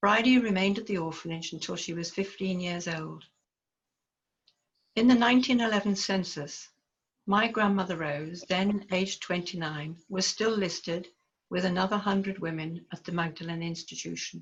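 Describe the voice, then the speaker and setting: In a Liverpool accent, a woman speaks at medium pitch and a moderate pace, somewhat breathy, with ordinary pitch variation. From northern England, Liverpool. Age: 70s. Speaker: researcher presenting autoethnography. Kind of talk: reading aloud of personal narrative.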